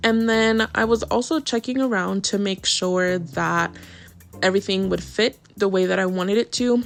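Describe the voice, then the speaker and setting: A woman speaks at a moderate pace and medium pitch, with ordinary pitch variation. Her loudness stays very even over music in the background. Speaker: gaming YouTuber. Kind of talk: gameplay voiceover tutorial. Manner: casual, chatty.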